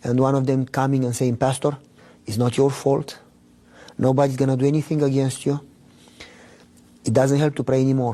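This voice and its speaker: A man with a Romanian accent, fairly high-pitched, dark and mellow in tone, monotone and flat, at a moderate pace. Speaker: pastor. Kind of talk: testimony.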